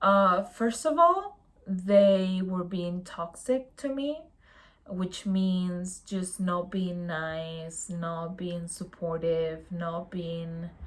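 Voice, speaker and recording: Speaking very slowly, a woman uses a medium pitch with ordinary pitch variation. She talks with a non-native accent. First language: not English. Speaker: youtuber on mental health. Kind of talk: casual vlog monologue. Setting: home, in pajamas at night. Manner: casual, hesitant with fillers.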